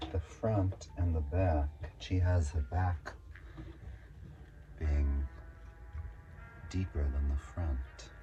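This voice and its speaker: Over music in the background, a man with an American accent speaks at a very slow pace with long, frequent pauses. His very deep, low pitch shows ordinary pitch variation, and his loudness stays very even. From Texas, Lubbock. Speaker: drag performer and vlogger. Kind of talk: casual sewing vlog. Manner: casual, rambling commentary.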